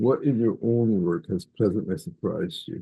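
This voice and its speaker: Speaking at a moderate pace, a man has a fairly low pitch and vocal fry. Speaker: professor interviewer. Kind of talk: interview.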